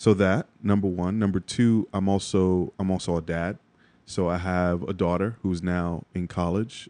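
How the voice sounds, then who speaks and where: A man with a very deep, low pitch and a dark, mellow tone speaks in a monotone with flat intonation, the sound dry and close with no echo over a quiet background. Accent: New York. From New York (Bronx). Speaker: creative director and podcaster, former finance worker. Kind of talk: interview.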